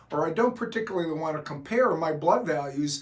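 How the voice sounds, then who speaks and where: Amid noticeable background noise, a man talks at a fairly quick pace and a fairly high pitch with lively intonation. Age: 60s. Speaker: doctor explaining hormone therapy. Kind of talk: explanatory talk to camera.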